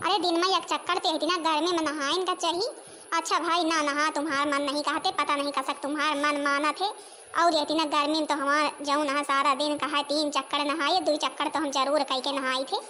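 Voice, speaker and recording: This woman performs a cartoonish character voice at a high pitch and a very fast pace, with very even loudness and fairly even intonation. Clear background noise runs underneath. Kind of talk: rustic comic dialect cartoon.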